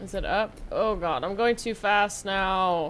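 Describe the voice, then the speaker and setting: In a very clean recording with a silent background, a woman with an American accent speaks in a raised, projected voice with a bright, sharp tone at a very slow pace. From California. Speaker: live streamer. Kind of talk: casual gaming livestream commentary. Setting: live stream. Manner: animated, exclamatory.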